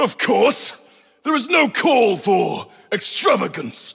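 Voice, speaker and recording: A put-on character voice from a man, extremely high in pitch, at a fairly slow pace. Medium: video game. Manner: solemn, preaching.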